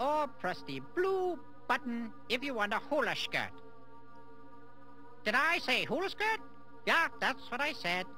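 A cartoonish character voice speaks at a fairly slow pace. Background noise is clearly heard. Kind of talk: comic puppet voice. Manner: eccentric, self-satisfied.

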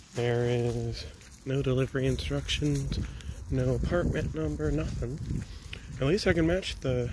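Noticeable background noise accompanies a man whose voice has a dry sound with no echo. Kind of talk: casual vlog chat. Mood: mildly annoyed. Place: street. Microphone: phone near.

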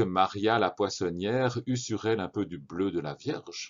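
In a plain, everyday voice, a man speaks at a fairly slow pace, fairly low in pitch, with ordinary pitch variation. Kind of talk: audiobook narration of a children's story. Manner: calm, measured storyteller's delivery.

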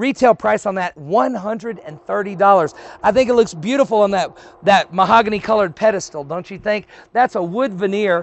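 This man has a high pitch and an animated tone, moving at a moderate pace with ordinary pitch variation in a dry sound with no echo. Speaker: auctioneer. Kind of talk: sales pitch. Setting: warehouse, outdoors in sun. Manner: animated, chatty, salesman patter. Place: street.

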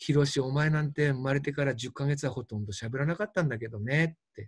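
In a very clean recording with a silent background, a somewhat breathy man talks very fast at a fairly high pitch with ordinary pitch variation. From Fukushima, Japan. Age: 60s. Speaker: doctor. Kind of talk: lecture.

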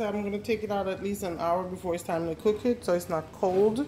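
A woman speaks at medium pitch and a moderate pace. Her tone is dark and mellow, with faint background noise behind her.

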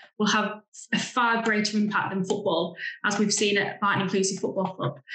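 A woman is speaking with fairly even intonation. There is audible room echo. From England. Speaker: grassroots football club founder; presenter. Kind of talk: remote presentation. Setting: video call. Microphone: video call.

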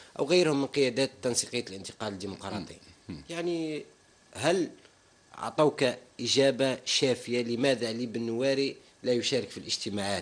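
A man's medium-pitched voice moves at a moderate pace with ordinary pitch variation and big swings in loudness. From Algeria. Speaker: TV talk show host. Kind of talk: TV interview; interview question. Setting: studio. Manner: formal. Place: studio. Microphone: studio mic.

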